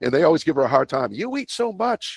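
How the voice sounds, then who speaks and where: Vocal fry marks this man's voice as his pitch swings very widely, recorded dry and close with no echo. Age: 60s. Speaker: longevity coach. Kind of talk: interview. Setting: podcast. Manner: animated.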